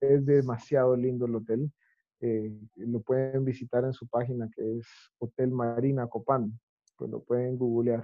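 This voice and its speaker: A man's medium-pitched voice, monotone and flat, at a fairly slow pace. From Guatemala. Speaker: chef. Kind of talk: interview conversation.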